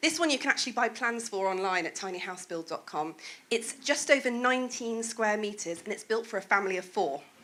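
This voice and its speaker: With a Welsh accent, a woman with a fairly high voice talks at a fairly quick pace and lively intonation. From Wales. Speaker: presentation speaker. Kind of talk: presentation talk.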